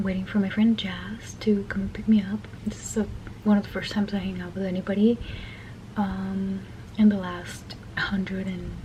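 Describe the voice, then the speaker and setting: Whispering at a moderate pace, a woman leaves long, frequent pauses over noticeable background noise. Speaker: vlogger. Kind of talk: casual vlog chat. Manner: halting.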